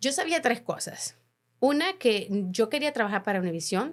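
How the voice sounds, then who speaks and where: A woman at a moderate pace with very wide pitch swings, on a very clean recording with a silent background. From Honduras. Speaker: journalist. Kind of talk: interview. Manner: halting.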